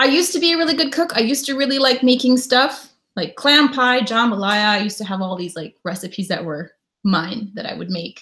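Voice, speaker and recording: A woman with an American accent speaks at a fairly quick pace in a high, bright, sharp voice that swings very widely in pitch. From Connecticut, US. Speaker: travel vlogger and live streamer. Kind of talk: casual live stream chat. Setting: live stream at home.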